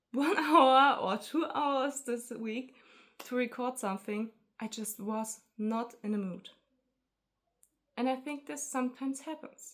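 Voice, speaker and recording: With a non-native accent, a woman speaks at a high pitch and a fairly slow pace, with ordinary pitch variation and long, frequent pauses. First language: not English. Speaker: artist vlogger. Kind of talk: casual vlog talk to camera. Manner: halting, hesitant.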